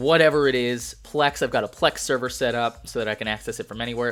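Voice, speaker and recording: Someone speaks at a fairly quick pace while music plays in the background. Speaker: tech YouTuber. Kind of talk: live-streamed phone walkthrough. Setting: live stream with chat. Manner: fast.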